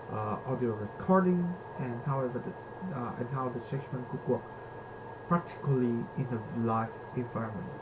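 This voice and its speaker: A man with a non-native accent speaks at a moderate pace in a medium pitch, with ordinary pitch variation and long, frequent pauses, over noticeable background noise and audible room echo. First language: not English. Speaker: university student. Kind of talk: reflective presentation. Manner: halting.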